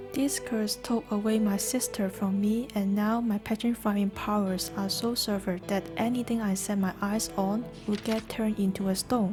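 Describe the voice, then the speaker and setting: Over music in the background, a woman with a non-native accent speaks at a moderate pace and medium pitch, with fairly even intonation, very even loudness and hardly any pauses. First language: not English. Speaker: gaming video creator. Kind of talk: first-person character backstory narration.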